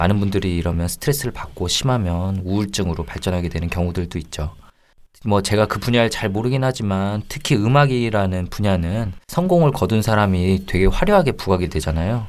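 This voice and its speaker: Speaking at a fairly quick pace, a man has a fairly low pitch, ordinary pitch variation and a plain, everyday voice. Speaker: psychology panelist.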